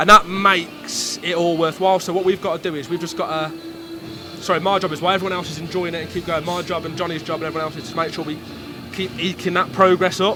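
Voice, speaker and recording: Talking very fast at a high pitch, a man keeps his intonation fairly even over noticeable background noise. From English Midlands. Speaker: football club executive. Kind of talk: casual interview.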